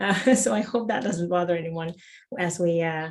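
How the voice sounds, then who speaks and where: Somewhat breathy and fairly low-pitched, a woman speaks at a fairly quick pace. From Suriname. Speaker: productivity coach. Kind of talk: interview conversation.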